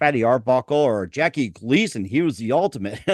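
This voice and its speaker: A man talks fairly quickly in an unremarkable speaking voice, pitched in the medium range. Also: dry, close sound with no echo. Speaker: podcast host. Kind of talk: casual interview question.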